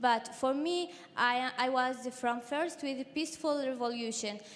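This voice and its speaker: A woman's high-pitched voice with a Syrian accent, fairly slow in pace, with ordinary pitch variation. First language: Arabic. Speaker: activist. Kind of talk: testimony. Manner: halting, many fillers.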